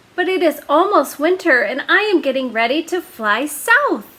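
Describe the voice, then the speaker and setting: An extremely high-pitched put-on character voice from a woman, delivered at a moderate pace. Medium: read story.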